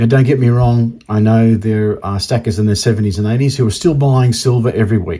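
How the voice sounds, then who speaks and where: A man's somewhat breathy voice of medium pitch, fairly quick in pace with fairly even intonation, on a very clean recording with a silent background. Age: 60s. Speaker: coin collecting youtuber. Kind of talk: casual vlog monologue. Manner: halting, with many repetitions and fillers.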